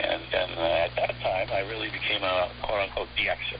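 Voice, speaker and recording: Noticeable background noise runs through the recording. The man talks at a moderate pace. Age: 70s. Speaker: shortwave radio hobbyist. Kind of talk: interview. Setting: phone call. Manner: casual, with many fillers.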